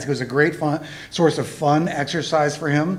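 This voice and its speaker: There is noticeable background noise behind this man's voice. He speaks at a fairly high pitch with fairly even intonation. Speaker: eulogy speaker, friend of the deceased. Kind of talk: eulogy at memorial service. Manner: fast.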